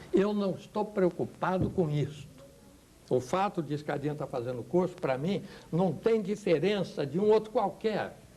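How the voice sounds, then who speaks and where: High-pitched male voice with a dark, mellow tone, lively intonation and a moderate pace. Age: 70s. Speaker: pastor. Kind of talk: TV talk show panel discussion. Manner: animated.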